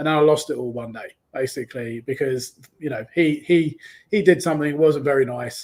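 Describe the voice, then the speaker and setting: A man with a London accent talks at a fairly quick pace. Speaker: online business coach. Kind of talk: interview.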